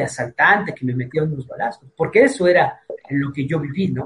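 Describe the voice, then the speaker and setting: A man speaks with a Mexican accent. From Mexico, Tepic (Nayarit). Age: 60s. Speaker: martial arts instructor. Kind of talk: interview. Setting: video call.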